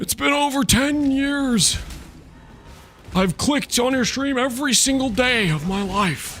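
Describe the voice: A put-on character voice is used here. It sits at a high pitch.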